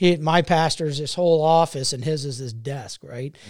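In a normal speaking voice, a man with an American accent talks at a moderate pace, fairly high in pitch with ordinary pitch variation, on a very clean recording with a silent background. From Ohio, Cincinnati area. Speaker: entrepreneur and city council member. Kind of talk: casual chat.

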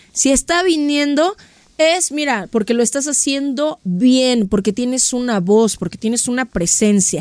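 Over noticeable background noise, a woman with a fairly high voice and a Mexican accent speaks at a fairly slow pace in an animated tone with lively intonation. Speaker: podcast host. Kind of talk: casual chat.

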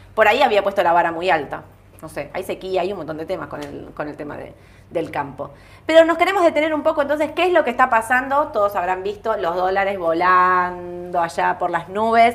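On a very clean recording with a silent background, a woman of medium pitch talks at a fairly quick pace. Her pitch swings very widely and her loudness varies in big swings. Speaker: stock market show host. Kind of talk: market commentary livestream.

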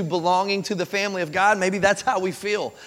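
With an American accent, a man talks at a very fast pace in a high pitch and an animated tone, amid noticeable background noise and audible room echo. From Kentucky, US. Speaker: pastor. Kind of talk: sermon. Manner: animated, conversational with frequent repetitions.

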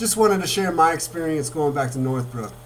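An excited, animated man with a fairly high voice, ordinary pitch variation and a fairly quick pace, over noticeable background noise. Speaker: podcast host and local reporter. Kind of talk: casual interview.

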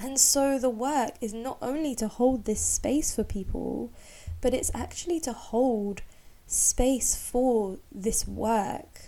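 A woman speaks very slowly in a high voice, with ordinary pitch variation. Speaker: womb healer and birth doula. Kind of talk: solo podcast monologue, personal story. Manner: unscripted, casual with laughs.

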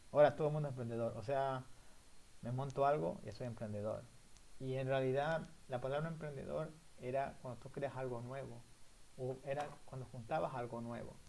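Speaking at a moderate pace with ordinary pitch variation and long, frequent pauses, a man with a medium-pitched voice is heard with audible room echo. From southern Ecuador (El Oro). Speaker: podcast co-host, university student. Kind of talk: casual chat.

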